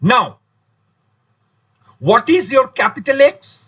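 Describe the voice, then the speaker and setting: The voice is raised and projected, with a bright, sharp tone and lively intonation. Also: man. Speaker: maths teacher. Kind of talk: lecture.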